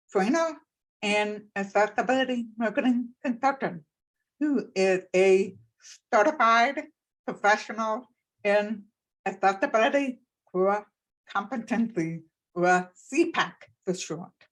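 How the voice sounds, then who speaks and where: With lively intonation and a fairly high pitch, a woman with an American accent speaks at a fairly slow pace, leaving long, frequent pauses. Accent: deaf. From Texas, Plano. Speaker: accessibility consultant and speaker. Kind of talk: panel discussion.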